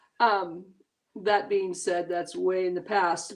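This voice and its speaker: Speaking at a fairly slow pace, a woman's voice sits at a medium pitch. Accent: American. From US Pacific Northwest. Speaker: children's book author. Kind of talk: casual interview chat. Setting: live video stream.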